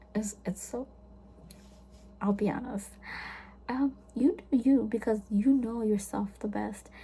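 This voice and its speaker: A woman with a fairly high pitch speaks slowly in a dark, mellow, somewhat breathy tone. Her intonation stays fairly even, broken by long, frequent pauses. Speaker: vlogger. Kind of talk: casual chat.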